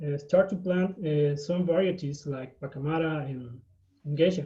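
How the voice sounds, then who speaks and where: Fairly high in pitch, this man speaks at a fairly slow pace. His intonation stays fairly even. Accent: Spanish. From Guatemala. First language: Spanish. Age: 20s. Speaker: coffee farmer. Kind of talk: presentation on video call. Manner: halting, many fillers.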